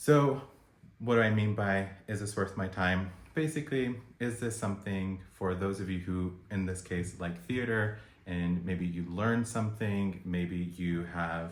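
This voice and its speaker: A man with a fairly low pitch and an American accent at a fairly slow pace, with ordinary pitch variation and audible room echo. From United States. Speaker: video blogger reviewing events. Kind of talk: review vlog.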